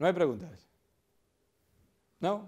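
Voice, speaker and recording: Ordinary pitch variation marks a man's speech in a very clean recording with a silent background. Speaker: physics professor. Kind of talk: public lecture. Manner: animated.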